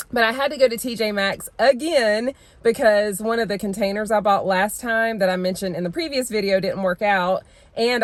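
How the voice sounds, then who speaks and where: A woman talks at a fairly quick pace in a normal speaking voice, pitched fairly high. The recording is very clean, with a silent background. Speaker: lifestyle vlogger. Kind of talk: casual vlog chat. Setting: in stores and car, on the go.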